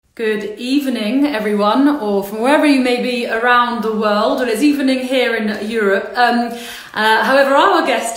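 A woman's high-pitched voice at a moderate pace, with ordinary pitch variation and audible room echo. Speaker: livestream host. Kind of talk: casual livestream introduction. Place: home room. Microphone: phone near.

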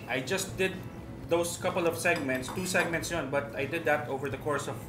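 Fairly brisk male speech, normal pitch movement, noticeable noise in the background. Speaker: TV show host. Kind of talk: casual reminiscing conversation. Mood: relaxed, amused. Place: cafe.

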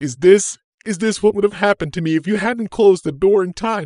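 A man puts on a shaky character voice at a high pitch. He talks at a fairly quick pace. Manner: trembling, frightened.

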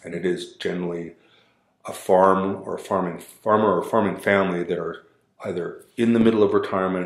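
A man talks at a fairly quick pace against a quiet background, with audible room echo. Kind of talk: interview answer. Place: meeting room. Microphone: camera far.

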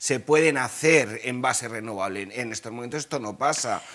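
A man talks at a fairly quick pace. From rural Spain. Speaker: climate activist; guest. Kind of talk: panel discussion. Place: studio. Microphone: lapel.

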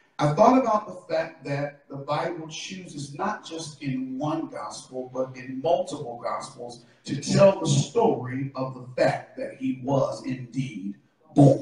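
Strong room echo surrounds a man's voice. His intonation is lively, and his loudness swings widely. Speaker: preacher. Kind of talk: sermon. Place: church. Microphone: camera far.

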